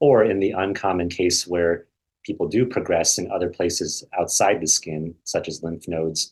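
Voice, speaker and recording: This man has a very deep, low pitch and an American accent. His voice is somewhat breathy, with ordinary pitch variation. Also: moderate pace. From US Midwest, Iowa. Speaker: hematologist-oncologist. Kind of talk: expert Q&A webinar. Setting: video call webinar.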